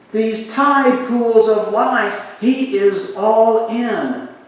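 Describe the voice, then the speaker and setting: Against noticeable background noise and audible room echo, a man talks in a high pitch. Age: 60s. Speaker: pastor. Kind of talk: sermon.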